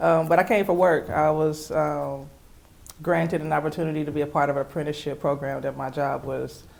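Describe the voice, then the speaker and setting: A woman with a Southern US accent, a very deep, low pitch, vocal fry and fairly even intonation. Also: fairly quick pace. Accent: southern twang. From Texas, Houston. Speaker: podcast co-host. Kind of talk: casual chat.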